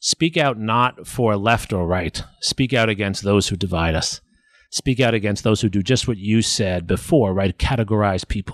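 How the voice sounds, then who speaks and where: A man with an American accent speaks at a moderate pace in a fairly low pitch, an unremarkable speaking voice. The sound is dry and close with no echo. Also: ordinary pitch variation. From New York City. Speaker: history professor. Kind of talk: interview conversation. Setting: at home.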